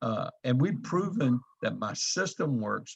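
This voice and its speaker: A man's voice carries vocal fry. His pitch swings very widely. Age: 70s. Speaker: network marketing trainer. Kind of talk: training presentation. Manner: hesitant with fillers.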